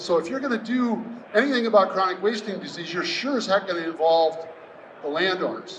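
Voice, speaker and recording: A man's fairly quick, lively speech with an American accent over noticeable background noise. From US Midwest, southwest Wisconsin. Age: 60s. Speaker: landowner and conservation speaker. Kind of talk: presentation to an audience. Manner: casual, conversational.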